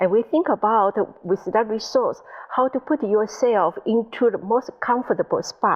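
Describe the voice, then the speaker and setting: The speaker has a Taiwanese accent and a moderate pace. Pitch variation is ordinary, and loudness stays very even. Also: woman, fairly high pitch for a woman. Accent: Taiwanese Mandarin accent on English. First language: Mandarin. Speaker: IT specialist. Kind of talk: interview.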